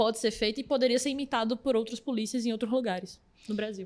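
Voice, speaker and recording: The recording is very clean, with a silent background. On it, a woman talks very fast at a high pitch. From Pernambuco, Recife. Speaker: podcast host. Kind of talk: interview.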